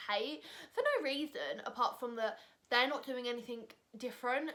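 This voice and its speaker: A woman's high-pitched voice at a moderate pace. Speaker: vlogger. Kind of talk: casual chat. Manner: loud.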